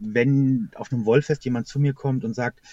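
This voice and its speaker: A man's somewhat breathy, dark, mellow voice at medium pitch, at a fairly quick pace, with a dry, close sound and no echo. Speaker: knitting YouTuber. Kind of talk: casual interview. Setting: in car on a hill, later phone. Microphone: quiet and poor connection, later phone.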